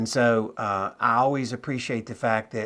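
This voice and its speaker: An ordinary speaking voice from a man at medium pitch, moderate in pace, with fairly even intonation, on a very clean recording with a silent background. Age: 60s. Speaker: note investor and trainer. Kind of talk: interview.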